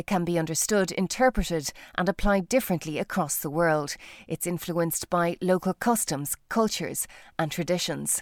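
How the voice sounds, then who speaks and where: A woman with an unremarkable speaking voice talks at a moderate pace, her fairly low pitch showing ordinary variation, in a very clean recording with a silent background. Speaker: podcast host. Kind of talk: interview, scripted intro.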